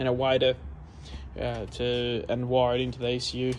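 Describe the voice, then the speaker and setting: A man mumbling at a fairly quick pace in an Australian accent. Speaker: car enthusiast. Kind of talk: casual talk to camera. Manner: mumbling, rambling.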